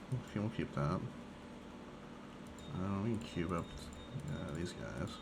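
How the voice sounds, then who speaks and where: Echo from the room is audible. The intonation rises and falls in a lively way. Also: man. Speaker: gaming streamer. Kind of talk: casual gameplay commentary. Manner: varies, tone and speech pattern can change dramatically; casual with many fillers.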